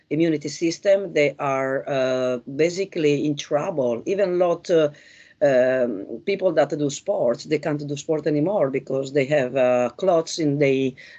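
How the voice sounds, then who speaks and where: A woman with an Italian accent, her very deep, low voice dark and mellow, at a fairly slow pace with ordinary pitch variation. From Italy. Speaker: spiritual investigator co-host. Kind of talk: conversational discussion. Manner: halting, many fillers.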